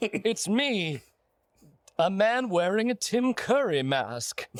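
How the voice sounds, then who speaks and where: A man's put-on character voice, high-pitched and very slow, in a smug, theatrical tone. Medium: audio drama.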